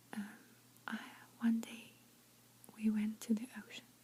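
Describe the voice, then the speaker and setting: A woman whispers at a fairly slow pace in a gentle tone. Noticeable background noise can be heard. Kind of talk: ASMR soft-spoken storytelling with lip smacking. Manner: soft-spoken, gentle, whispery.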